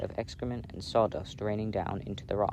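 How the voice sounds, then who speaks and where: A man with an ordinary speaking voice, fairly low in pitch. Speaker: ASMR roleplay creator. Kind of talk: casual book reading aloud. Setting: outdoors. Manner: soft-spoken.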